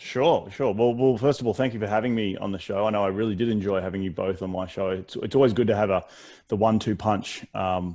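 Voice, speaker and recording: Speaking very fast, a man with an Australian accent has a fairly low pitch and a dark, mellow tone. The background is quiet. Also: ordinary pitch variation. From Australia, Brisbane. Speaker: real estate investor. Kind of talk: podcast interview. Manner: many fillers and repetitions.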